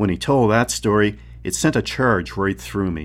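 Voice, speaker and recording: Speaking fairly slowly in a dramatic tone, a man with a fairly low voice and vocal fry swings very widely in pitch. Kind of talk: literary audiobook reading. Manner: measured, dramatic narration with character voices; expressive, crisply paced, shifting tone between passages.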